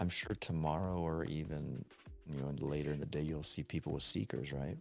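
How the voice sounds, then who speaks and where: A man with a very deep, low pitch, very even loudness and fairly even intonation at a fairly quick pace, music in the background. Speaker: gaming streamer. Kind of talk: live stream commentary. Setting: home bedroom at night. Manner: quieter than usual.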